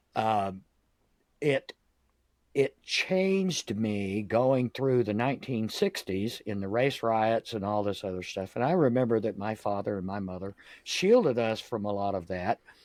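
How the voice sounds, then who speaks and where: Someone talks at a fairly slow pace in a Southern US accent, with ordinary pitch variation. The recording is very clean with a silent background, and the sound is dry and close with no echo. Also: man, fairly low pitch for a man. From US South, Jacksonville, Florida. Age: 60s. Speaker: podcast host. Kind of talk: casual interview chat. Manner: hesitant, many fillers.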